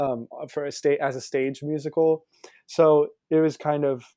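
A man speaks in an American accent. His voice is fairly high in pitch, with a dark, mellow tone. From US South, Pensacola, Florida. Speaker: musical theater actor. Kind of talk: interview.

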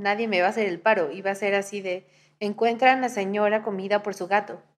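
A woman with an unremarkable speaking voice talks at a fairly quick pace, keeping a medium pitch and fairly even intonation. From Mexico. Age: 20s. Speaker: podcast host. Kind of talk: casual chat.

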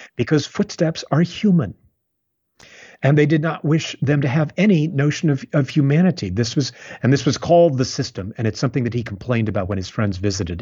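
A man talks at a fairly quick pace, with vocal fry. His pitch swings very widely. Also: fairly high pitch for a man. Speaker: playwright. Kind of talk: interview conversation about literature.

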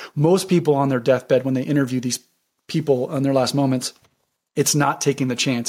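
The intonation stays fairly even. It is a plain, everyday voice. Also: man. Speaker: real estate wholesaler. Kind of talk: casual interview chat.

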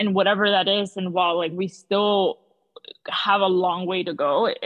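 This woman has a plain, everyday voice. She talks at a moderate pace and a medium pitch. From South Florida (Miami), born in Peru. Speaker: small business founder. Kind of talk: interview.

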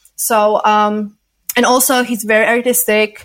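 Music plays in the background as a woman speaks. Her fairly high voice has monotone, flat intonation. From Poland. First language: not English. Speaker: adult film performer and director. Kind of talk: interview.

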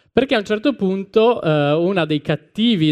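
Speaking at a fairly slow pace, a man uses a normal speaking voice. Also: quiet background. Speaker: podcast host. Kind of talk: scripted live talk and reading aloud. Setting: stage with audience.

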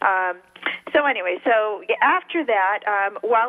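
With lively intonation, a woman speaks at a fairly slow pace in a fairly high pitch. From California, partly raised in Mexico. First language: Spanish. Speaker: marketing research specialist. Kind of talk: radio interview.

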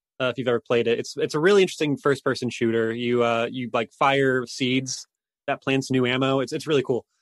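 A man talks fairly quickly in an ordinary speaking voice at a medium pitch. His intonation stays fairly even, and the sound is dry and close with no echo. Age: young. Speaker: indie game developer. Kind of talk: interview.

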